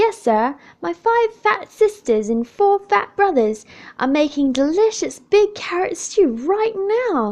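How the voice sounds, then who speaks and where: A woman uses a put-on character voice at an extremely high pitch, with very wide pitch swings and a fairly slow pace. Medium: read story. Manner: eager.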